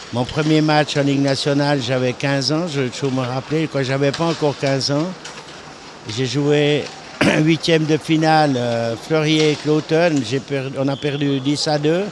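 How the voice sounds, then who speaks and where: Very slow speech from a man with a fairly high voice, fairly even in intonation, over noticeable background noise. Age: 70s. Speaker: former ice hockey goalkeeper and event organizer. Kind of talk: interview. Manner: hesitant, repetitive.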